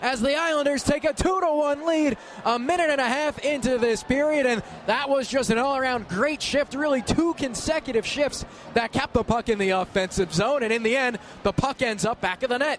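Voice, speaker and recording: Over noticeable background noise, a man with an extremely high pitch speaks at a fairly quick pace in an excited tone. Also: ordinary pitch variation, very even loudness. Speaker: radio play-by-play announcer. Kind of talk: live hockey play-by-play. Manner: fast, excited.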